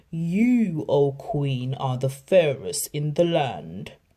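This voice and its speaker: A very slow, put-on character voice, female-sounding and very deep and low. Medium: read story.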